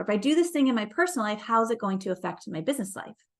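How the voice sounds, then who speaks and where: The speaker is a woman with an animated tone. She talks very fast. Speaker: life and business coach. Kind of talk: motivational talk.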